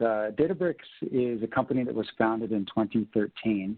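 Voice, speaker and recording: This man has a normal speaking voice with a medium pitch and an American accent. He talks at a moderate pace with ordinary pitch variation. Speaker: tech company sales executive. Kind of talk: webinar presentation.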